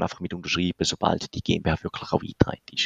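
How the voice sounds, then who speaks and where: A man speaks at a fairly quick pace with a dry, close sound and no echo. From Switzerland, canton of St. Gallen. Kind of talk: explanatory interview. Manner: hesitant, many filler sounds.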